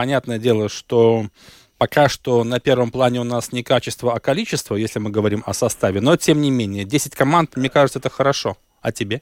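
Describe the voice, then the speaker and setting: An ordinary speaking voice from a man, medium in pitch with ordinary pitch variation, at a fairly quick pace, the sound dry and close with no echo on a very clean recording with a silent background. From Latvia, Riga. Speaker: sports radio host. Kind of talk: radio sports talk show. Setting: radio studio.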